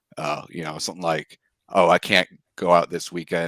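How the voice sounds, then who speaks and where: A man speaks at a very deep, low pitch. The sound is dry and close, with no echo. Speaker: dating show contestant. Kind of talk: casual chat. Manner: monotone.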